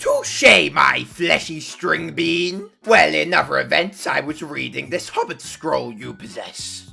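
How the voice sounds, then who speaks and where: Using a put-on character voice, a man talks with hardly any pauses and big swings in loudness while faint music plays in the background. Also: fairly slow pace. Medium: solo performance. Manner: florid, theatrical, pompous.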